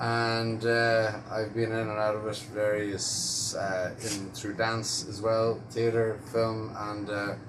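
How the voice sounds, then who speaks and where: In an Irish accent, a man speaks at a very slow pace with a fairly low pitch and monotone, flat intonation. The recording has noticeable background noise and audible room echo. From Ireland, Dublin. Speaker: actor. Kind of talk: interview answers.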